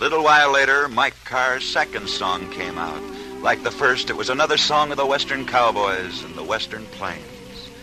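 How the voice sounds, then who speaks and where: Over music in the background, the speech moves at a moderate pace with lively intonation and big swings in loudness. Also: man, medium pitch for a man. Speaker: radio sports broadcaster. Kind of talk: old-time radio sports story narration.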